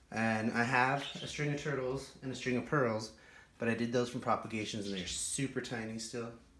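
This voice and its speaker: The speech has fairly even intonation and a moderate pace. Audible room echo and noticeable background noise come through. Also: man. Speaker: houseplant YouTuber. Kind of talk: casual show-and-tell vlog. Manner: conversational, casual.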